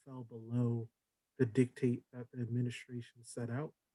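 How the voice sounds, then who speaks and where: At a moderate pace, a man talks with a medium pitch in a dry, close recording with no echo. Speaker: town council member. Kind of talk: council meeting deliberation. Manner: halting. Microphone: too quiet.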